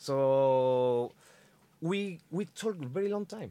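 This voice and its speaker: A man with a Spanish accent speaks at medium pitch in a dark, mellow tone, with very wide pitch swings. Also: very clean recording, silent background. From Chile. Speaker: metal musician. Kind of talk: casual chat. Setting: studio. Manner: halting.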